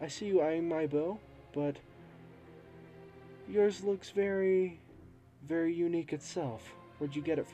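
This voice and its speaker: A put-on character voice, breathy, comes at a moderate pace with ordinary pitch variation and long, frequent pauses. Clear background noise sits under it. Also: man, high pitch for a man. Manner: curious, gently probing.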